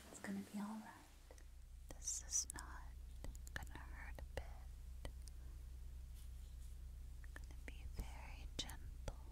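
Soft-spoken, a woman talks at a very slow pace. Long, frequent pauses break up her words. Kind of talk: soft-spoken roleplay instructions. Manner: soft ASMR voice close to ear.

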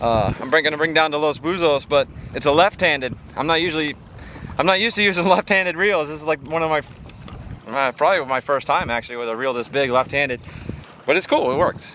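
A man talks at a very fast pace, the sound dry with no echo and light background noise behind him. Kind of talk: casual vlog chat. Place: waterside. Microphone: phone near.

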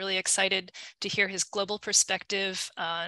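A woman with a bright, sharp tone speaks at a moderate pace in monotone, flat intonation, with a quiet background and a dry sound with no echo. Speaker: lecture host. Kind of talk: event introduction. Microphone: video call.

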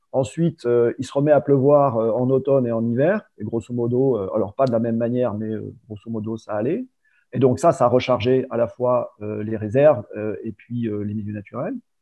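Against a quiet background, a man with an ordinary speaking voice talks at a moderate pace in a medium pitch with fairly even intonation. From Provence, France. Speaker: water industry business developer, chemist. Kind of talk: interview conversation. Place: home room. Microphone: video call.

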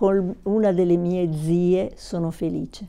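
Her voice has a dark, mellow tone, sitting fairly low in pitch and delivered in a flat monotone. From southern Italy, Naples; southern Italy. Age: 60s. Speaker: YouTuber. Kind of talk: personal vlog monologue. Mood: warm, reflective. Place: home room. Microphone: lapel.

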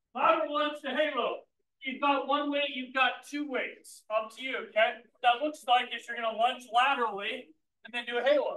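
Extremely high-pitched male speech at a moderate pace, fairly even in intonation, amid light background noise and audible room echo. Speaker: fitness trainer. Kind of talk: class instruction. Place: gym. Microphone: camera far.

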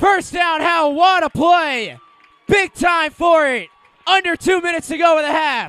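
A man shouting at an extremely high pitch, bright and sharp in tone, fairly slow with fairly even intonation. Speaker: high school football play-by-play announcer. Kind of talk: live sports commentary, play-by-play. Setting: stadium broadcast of a Friday night game.

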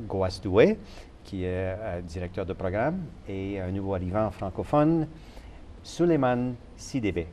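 Lively intonation plays across a dark, mellow tone. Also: man. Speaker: TV host. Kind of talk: TV interview. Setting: studio.

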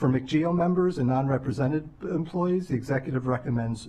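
A man speaks in a dark, mellow tone that is somewhat breathy, with ordinary pitch variation. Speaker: legislative staff analyst. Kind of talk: budget briefing to council. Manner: formal. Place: hall. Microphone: podium.

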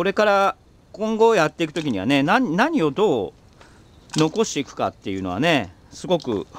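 A fairly high-pitched man at a moderate pace, very wide pitch swings and big swings in loudness, dry sound with no echo, light background noise. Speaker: organic farmer, video host; video host. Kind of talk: casual monologue while working on the farm. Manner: chatty, rambling at length. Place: farm machine. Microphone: phone near.

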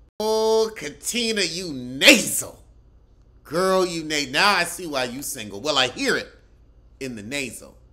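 An animated man with a high, bright, sharp voice makes very wide pitch swings and big swings in loudness. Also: fairly slow pace. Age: 30s. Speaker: comedian. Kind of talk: reality TV roast commentary, mocking cast members' looks and voices. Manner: sassy, campy drawl with rhetorical questions; animated, exclamatory outbursts. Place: home room. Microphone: phone near.

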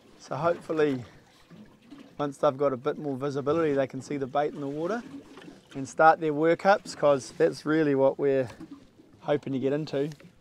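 A man talks at a fairly quick pace with ordinary pitch variation. The sound is dry with no echo, with light noise behind it. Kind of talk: casual vlog chat. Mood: upbeat, hopeful. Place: boat. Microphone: lapel.

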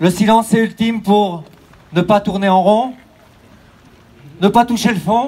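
Over light background noise, a man talks at a high pitch with ordinary pitch variation. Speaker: race announcer. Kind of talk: solemn speech. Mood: solemn, poetic, reflective. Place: street. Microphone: pa.

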